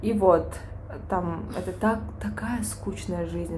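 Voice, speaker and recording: Someone speaks at a very slow pace over noticeable background noise, with audible echo from the room. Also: woman. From Kyrgyzstan. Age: 20s. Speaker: podcast co-host. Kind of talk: casual chat.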